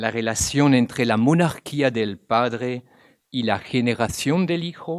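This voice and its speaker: The recording is very clean with a silent background. A man talks very slowly with ordinary pitch variation. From Belgium. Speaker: theology professor, Jesuit priest. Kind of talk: academic lecture. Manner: formal.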